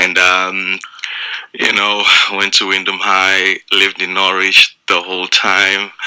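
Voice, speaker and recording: In a Zimbabwean accent, a man speaks at a very slow pace with a very deep, low pitch. His intonation stays monotone and flat. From Zimbabwe, Mutare. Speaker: stand-up comedian. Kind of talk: radio interview. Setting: radio studio.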